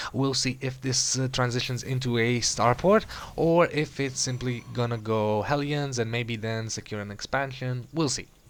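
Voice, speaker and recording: A man with an Eastern European accent talks with fairly even intonation and hardly any pauses. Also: medium pitch for a man, moderate pace. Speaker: game commentator. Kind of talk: live commentary.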